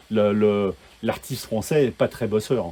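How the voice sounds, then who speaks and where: A fairly slow pace with ordinary pitch variation. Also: man. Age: 60s. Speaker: sound engineer. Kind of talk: casual chat. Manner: halting, many repetitions.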